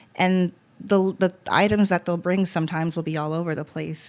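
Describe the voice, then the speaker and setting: Her fairly low voice keeps a fairly even intonation over a very clean recording with a silent background. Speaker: podcast host and funeral home worker. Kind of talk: casual conversation. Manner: fast.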